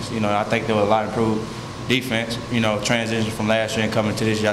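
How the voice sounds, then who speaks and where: Noticeable background noise sits behind a man's voice. He has a fairly low pitch and speaks at a very fast pace. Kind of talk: interview answer. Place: meeting room. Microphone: podium.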